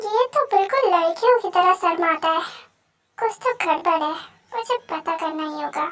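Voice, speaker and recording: The speaker uses a put-on character voice at a moderate pace. The intonation is lively. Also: woman, extremely high pitch for a woman. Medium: audio drama. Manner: bossy, teasing.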